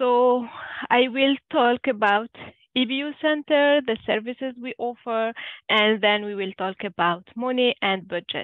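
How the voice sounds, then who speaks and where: A woman speaks in a French accent at a fairly slow pace. Her voice is high, with ordinary pitch variation. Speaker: budget counselor. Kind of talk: webinar presentation. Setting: online webinar. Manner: halting, many fillers.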